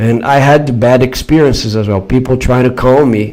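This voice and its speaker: Over noticeable background noise, a man with a São Paulo accent speaks at a moderate pace with lively intonation. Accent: São Paulo Brazilian Portuguese. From Brazil, São Paulo. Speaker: YouTuber. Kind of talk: live stream chat answering viewers. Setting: live stream.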